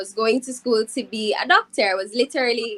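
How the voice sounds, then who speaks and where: In a dry, close sound with no echo, a woman with a Jamaican accent talks at a moderate pace and fairly high pitch with ordinary pitch variation. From Jamaica, Saint Catherine (Spanish Town). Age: 20s. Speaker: singer. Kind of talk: interview.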